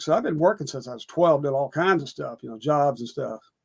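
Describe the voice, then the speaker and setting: A man with a Texan accent talks at a fairly quick pace. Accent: Texan Southern US. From East Texas. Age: 70s. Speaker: actor. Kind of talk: casual interview.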